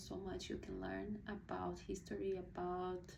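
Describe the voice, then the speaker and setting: A woman's fairly slow voice with audible room echo. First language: Portuguese. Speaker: book reviewer, video blogger. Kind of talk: casual book review monologue. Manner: hesitant, many fillers and restarts.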